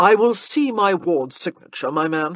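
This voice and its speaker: Drawling at a moderate pace, a put-on character voice sits at a middle pitch. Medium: read story. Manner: bored, drawling, unhurried.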